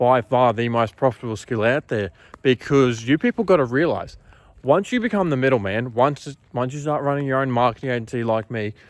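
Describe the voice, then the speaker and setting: A man with an Australian accent at a medium pitch and fairly quick pace, ordinary pitch variation, a dry, close sound with no echo, and a very clean recording with a silent background. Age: 20s. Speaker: marketing agency owner. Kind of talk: casual talking-head monologue. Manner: casual, filler-heavy.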